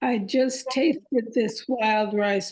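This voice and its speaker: A woman's fairly high voice unfolds at a very slow pace. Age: 80s+. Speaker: interview guest on plant-based eating. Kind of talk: online group interview, personal story.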